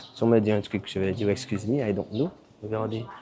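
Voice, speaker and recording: A quiet man with a fairly low voice speaks at a fairly quick pace with fairly even intonation over noticeable background noise. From Martinique. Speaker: travel vlogger. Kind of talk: travel vlog.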